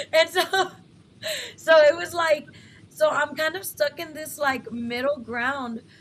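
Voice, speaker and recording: A woman speaks in a West Texas accent. Her pace is fairly slow and her intonation lively. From West Texas, Lubbock. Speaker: talk show host. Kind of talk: live interview show. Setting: live broadcast studio.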